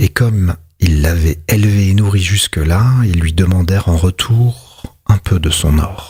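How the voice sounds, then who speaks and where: A man's very deep, low voice at a very slow pace, with ordinary pitch variation. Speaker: ASMR reader. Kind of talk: whispered literary reading. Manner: whispered, soft-spoken.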